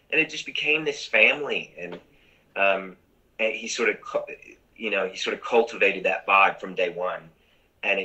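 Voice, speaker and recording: Speaking at a moderate pace with an American accent, a man leaves long, frequent pauses, his loudness swinging widely against a quiet background. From US Midwest. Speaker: musical theatre actor. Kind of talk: casual interview chat. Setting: video call. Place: home room. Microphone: video call.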